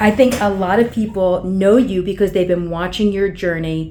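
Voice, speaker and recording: A woman's medium-pitched voice with monotone, flat intonation, against noticeable background noise. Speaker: ALS treatment practitioner. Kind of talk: interview host talk.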